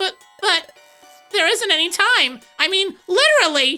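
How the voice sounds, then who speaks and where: A put-on character voice at an extremely high pitch moves at a moderate pace over faint background music. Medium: game stream. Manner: chatty, casual.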